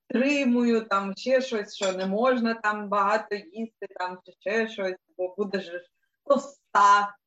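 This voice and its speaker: Pitch varying in an ordinary way, a woman talks very slowly. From Donetsk, eastern Ukraine. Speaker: animal rights activist, sound technician. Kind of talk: casual chat. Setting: video call.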